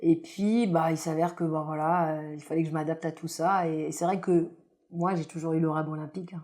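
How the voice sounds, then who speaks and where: A woman speaks at a fairly quick pace in a fairly low pitch, her tone dark and mellow and her intonation monotone and flat. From grew up in France, in a housing estate. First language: not French (speaking French). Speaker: former Olympic judoka. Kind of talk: podcast interview. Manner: hesitant, many fillers.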